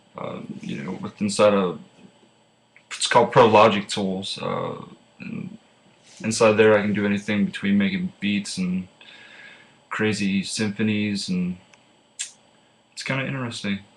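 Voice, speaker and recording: With an American accent, a man talks at a moderate pace, his loudness swinging widely and his pauses long and frequent. Noticeable background noise runs behind him. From Pennsylvania, rural farm. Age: 20s. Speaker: student. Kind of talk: class self-introduction speech. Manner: casual with many filler uhs.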